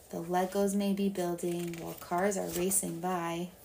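Very slow and somewhat breathy, a woman speaks at a medium pitch. Her tone is dark, mellow, warm and gentle. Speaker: storytime reader. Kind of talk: bedtime story read aloud in rhyming verse. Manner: soft, warm, gentle and soothing, slow unhurried pacing; sing-song rhythm that leans into the rhymes.

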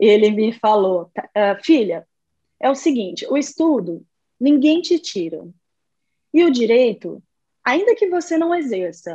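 Her pitch is high and swings very widely. This woman speaks at a fairly slow pace. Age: 30s. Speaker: lawyer. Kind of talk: interview.

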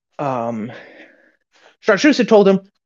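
A woman's animated voice with vocal fry, very wide pitch swings and a moderate pace. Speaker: podcast co-host. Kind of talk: casual chat. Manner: chatty, animated, laughs often.

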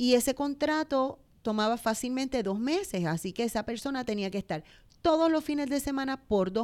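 A woman with a fairly high pitch talks at a fairly quick pace, her pitch swinging very widely, on a very clean recording with a silent background. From Puerto Rico, Bayamón. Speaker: business owner. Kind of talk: interview.

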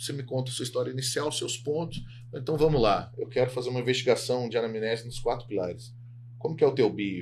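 In a somewhat breathy, medium-pitched voice, a man speaks at a very fast pace with fairly even intonation. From Minas Gerais, Brazil. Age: 30s. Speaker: sports psychologist. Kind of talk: casual interview chat.

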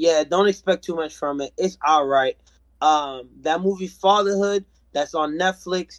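Speaking fairly slowly, a man with a high pitch and ordinary pitch variation comes through in a dry, close sound with no echo. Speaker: podcast co-host. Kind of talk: casual chat.

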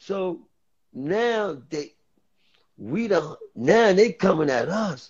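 A man with a New York accent, a high pitch for a man, lively intonation, a very slow pace, and long, frequent pauses. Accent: New York City. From New York City, the Bronx. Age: 50s. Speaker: former streetball player. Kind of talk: casual chat.

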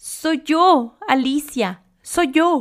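A hoarse, high-pitched, put-on character voice. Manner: curt, severe.

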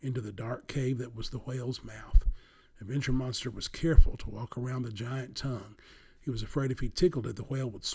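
Someone reads the text aloud in a plain way.

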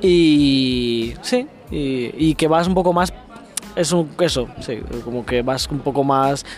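A man speaks at a fairly high pitch and a very slow pace, with long, frequent pauses. Noticeable background noise is present. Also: ordinary pitch variation. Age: 20s. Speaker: doctoral student. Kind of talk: casual interview.

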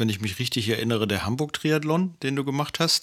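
A man speaks in an unremarkable speaking voice. His pitch variation is ordinary. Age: 50s. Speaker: podcast co-host, partner of person with diabetes. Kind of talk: casual chat.

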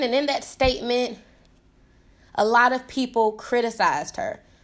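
A high-pitched woman at a fairly slow pace, on a very clean recording with a silent background. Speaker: podcast host and personal development advisor. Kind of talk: casual solo podcast monologue. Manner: unscripted, freestyling with many fillers.

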